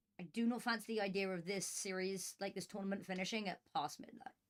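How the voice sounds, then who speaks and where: A woman talks at a fairly quick pace with a British accent. Her pitch sits in the medium range, with ordinary variation. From Britain. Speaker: esports caster. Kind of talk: live commentary.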